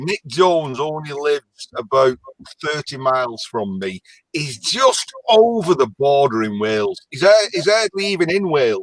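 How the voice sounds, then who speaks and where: With a strong Lancashire accent, a man talks fairly slowly at a fairly high pitch with very wide pitch swings, the sound dry and close with no echo. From northern England, Lancashire. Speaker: caller. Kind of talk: casual chat.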